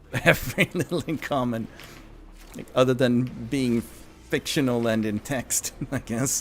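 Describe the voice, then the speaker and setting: A man with a Swedish accent speaks at a fairly slow pace in a medium pitch with ordinary pitch variation, leaving long, frequent pauses. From Sweden. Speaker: gaming streamer. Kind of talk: live game stream chat. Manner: casual, hesitant with fillers.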